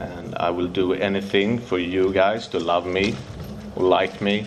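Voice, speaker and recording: A man speaks very slowly while noticeable noise runs in the background. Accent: Swedish. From Sweden, Stockholm. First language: Swedish. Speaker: recovering addict sharing at a convention. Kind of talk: recovery testimony. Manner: halting.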